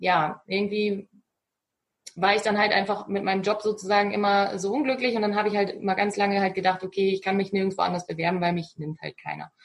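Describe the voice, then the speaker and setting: Talking at a very fast pace, a woman keeps her voice at medium pitch. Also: fairly even intonation. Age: 30s. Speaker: virtual assistant. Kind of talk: interview. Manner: halting, many fillers.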